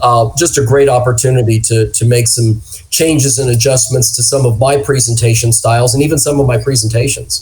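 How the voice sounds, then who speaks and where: Against noticeable background noise, a man talks with fairly even intonation and very even loudness. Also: medium pitch for a man, fairly quick pace, hardly any pauses. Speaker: public safety wellness director. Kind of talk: interview conversation.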